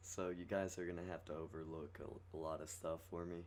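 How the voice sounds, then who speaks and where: A man's very deep, low voice in monotone, flat intonation, with audible room echo. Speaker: gaming youtuber. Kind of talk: game review tutorial. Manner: halting, stuttering; casual, many fillers.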